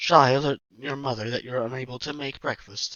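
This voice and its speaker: A put-on character voice delivered at a fairly quick pace. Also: man. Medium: read story. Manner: polite, formal.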